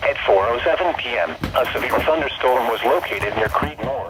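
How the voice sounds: A man at a medium pitch talks with lively intonation and a fairly bright tone, with audible room echo around him. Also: moderate pace.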